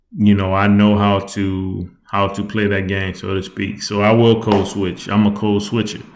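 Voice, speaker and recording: In a room with audible echo, a man speaks in a fairly low, flat monotone. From US South. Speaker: YouTuber. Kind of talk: casual vlog commentary. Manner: fast; casual, repetitive fillers.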